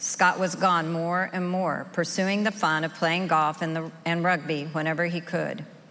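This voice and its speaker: Fairly low in pitch, a woman speaks with an American accent at a moderate pace. Hers is an unremarkable speaking voice. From rural Oklahoma, US. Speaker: recovery group member sharing her story. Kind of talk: testimony.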